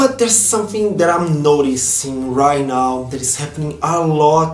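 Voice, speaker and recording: A fairly high-pitched man's voice with lively intonation and a Brazilian accent, at a moderate pace, with music in the background. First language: Portuguese. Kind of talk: casual vlog talk to camera.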